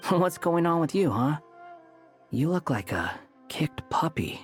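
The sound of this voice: Faint music plays behind a man doing a slow, put-on character voice, fairly high in pitch, with a slightly husky edge and big pitch swings.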